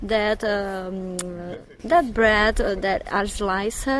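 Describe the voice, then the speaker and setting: A woman speaks at a very slow pace with lively intonation, amid audible room echo and noticeable background noise. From Brazil, Belo Horizonte. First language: Portuguese (speaking German). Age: 30s. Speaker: blogger. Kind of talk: interview.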